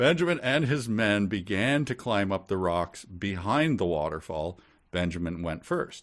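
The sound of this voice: Someone's unforced reading voice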